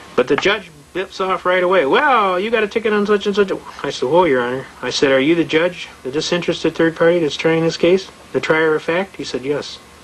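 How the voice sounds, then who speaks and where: Ordinary pitch variation marks a man's speech over noticeable background noise. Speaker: constitutional law lecturer. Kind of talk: lecture. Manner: fast; animated.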